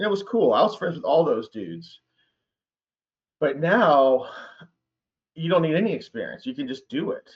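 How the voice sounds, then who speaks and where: A man with an American accent talks at a high pitch with very wide pitch swings. He leaves long, frequent pauses. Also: moderate pace. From US South. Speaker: high school teacher. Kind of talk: casual chat. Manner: animated.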